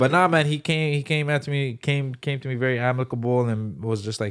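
Speaking at a very fast pace, a man shows ordinary pitch variation in a very clean recording with a silent background. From Canada, Toronto (Scarborough). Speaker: stand-up comedian. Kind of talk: casual chat. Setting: studio.

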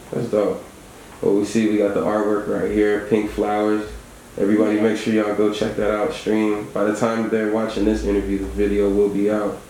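A man talks at a fairly quick pace in a fairly low, relaxed voice with monotone, flat intonation. Noticeable background noise runs behind him. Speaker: radio host. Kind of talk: casual radio interview. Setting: studio. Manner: relaxed, conversational.

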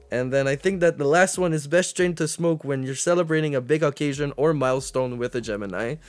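Talking at a fairly quick pace, a man uses a plain, everyday voice pitched fairly high. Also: ordinary pitch variation, hardly any pauses. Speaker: podcast co-host. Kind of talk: casual chat.

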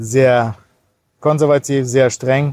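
A man's medium-pitched voice in a Cologne accent, at a very slow pace. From Kazakhstan, then Cologne region. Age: 40s. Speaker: pastor. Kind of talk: interview.

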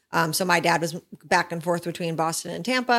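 In a very clean recording with a silent background, a woman with an unremarkable speaking voice and a fairly low pitch talks at a fairly quick pace. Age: 30s. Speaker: podcast host's wife. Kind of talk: casual chat. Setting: studio.

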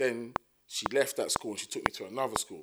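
With a South London accent, a man talks at a fairly quick pace. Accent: South London, Multicultural London English. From South London, Thamesmead. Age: 30s. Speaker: rapper. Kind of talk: casual chat.

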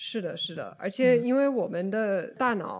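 A woman talks with ordinary pitch variation, keeping a moderate pace. The recording is very clean and the background silent. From US, Oregon. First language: English (speaking Chinese). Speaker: podcast guest sharing mental health experience. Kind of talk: casual conversational interview. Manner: halting, with frequent fillers.

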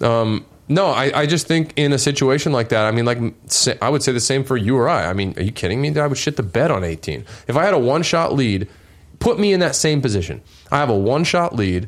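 A man speaks at a fairly quick pace and medium pitch, with lively intonation and vocal fry. His loudness stays very even. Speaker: podcast host. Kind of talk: casual chat.

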